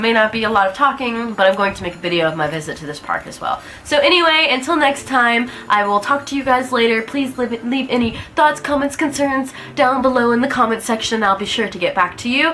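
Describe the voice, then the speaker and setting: Speaking very fast with an American accent, a woman uses lively intonation in a high pitch over noticeable background noise. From US South, Alabama. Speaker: vlogger. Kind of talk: casual vlog talk to camera. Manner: casual, with fillers.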